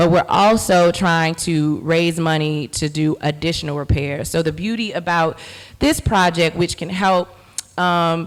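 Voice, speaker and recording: In a very clean recording with a silent background, a woman with an American accent and a plain, everyday voice talks at a fairly low pitch with fairly even intonation. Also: fairly slow pace. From Chicago, Greater Inglewood. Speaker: artist and community organizer. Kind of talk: panel presentation.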